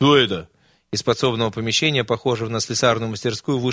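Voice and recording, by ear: A natural voice reading aloud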